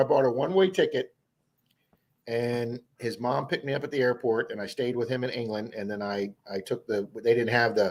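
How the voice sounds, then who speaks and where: A man speaks in an ordinary speaking voice with an American accent, at a medium pitch and a fairly quick pace, with lively intonation. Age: 60s. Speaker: metal detecting youtuber, live stream host. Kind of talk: casual live stream chat. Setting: live stream.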